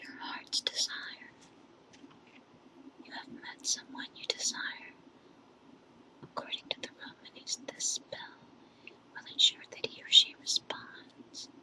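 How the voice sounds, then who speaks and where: Whispering at a very slow pace with long, frequent pauses, a woman's voice makes big swings in loudness over noticeable background noise. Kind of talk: ASMR whisper reading. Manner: whispered, soft, slow.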